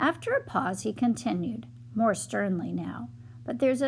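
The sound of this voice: The voice is an unforced reading voice. It carries through the whole clip.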